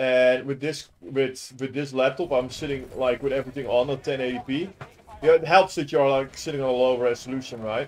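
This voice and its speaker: The speaker talks at a fairly quick pace. The intonation stays fairly even. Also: man, medium pitch for a man. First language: not English. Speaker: gaming youtuber. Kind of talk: gameplay commentary. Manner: casual, hesitant with fillers.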